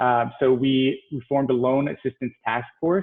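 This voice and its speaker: A man of medium pitch speaks in a monotone, flat intonation. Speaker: downtown business development official. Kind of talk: panel presentation. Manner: fast.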